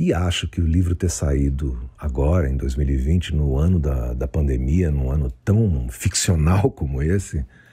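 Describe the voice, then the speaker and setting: The pace is moderate. It's a man doing the talking. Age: 60s. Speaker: writer and former rock musician. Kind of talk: recorded author statement. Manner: halting.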